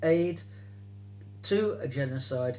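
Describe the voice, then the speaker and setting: Somewhat breathy, a man speaks with a fairly high pitch. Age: 70s. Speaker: political activist. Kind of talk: interview answer.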